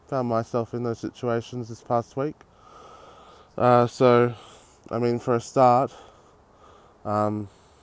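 In an Australian accent, a man talks at a very slow pace and medium pitch, with long, frequent pauses. His intonation is monotone and flat, and the sound is dry and close with no echo. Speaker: podcast host. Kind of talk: casual monologue. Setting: outdoors on a street.

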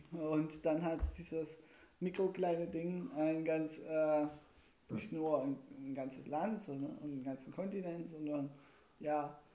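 Speaking at a very slow pace with long, frequent pauses, a man has a fairly high voice and a dark, mellow tone. His pitch varies in an ordinary way. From Saxony, Erzgebirge region, Germany. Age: 20s. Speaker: student teacher. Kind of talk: casual chat. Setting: home kitchen studio.

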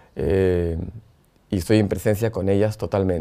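This man has a dark, mellow tone, fairly low pitch and fairly even intonation. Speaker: podcast host and entrepreneur. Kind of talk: personal monologue.

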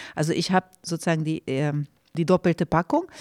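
A woman with a Hungarian accent on a very clean recording with a silent background. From Romania, Hungarian minority. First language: Hungarian (speaking German). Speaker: film and theatre director. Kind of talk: casual interview. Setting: studio.

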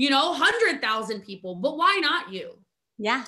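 A high-pitched woman's raised, projected voice with an American accent, bright and sharp in tone, animated, with very wide pitch swings. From US Mid-Atlantic, rural Maryland. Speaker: network marketing entrepreneur. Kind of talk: casual interview chat. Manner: animated, fast.

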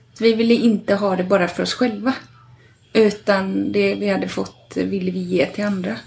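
At a moderate pace and medium pitch, a woman speaks with fairly even intonation against noticeable background noise. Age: 40s. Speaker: midwife. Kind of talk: casual chat. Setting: at home.

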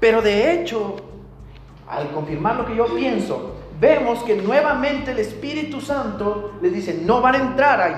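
A man with an extremely high pitch speaks at a fairly slow pace with lively intonation. There's noticeable background noise and audible room echo. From northern Mexico, Tamaulipas and Coahuila. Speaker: pastor. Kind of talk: sermon.

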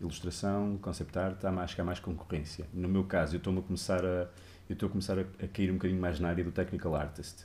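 Very fast and somewhat breathy, a man's very deep, low voice has a dark, mellow tone. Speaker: game artist. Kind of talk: interview on a live stream.

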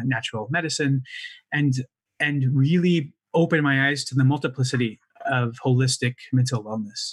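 With an American accent, this man has an ordinary speaking voice at a medium pitch, ordinary pitch variation and a moderate pace. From United States. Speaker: mental wellness impact investor, fund founder. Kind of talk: podcast interview.

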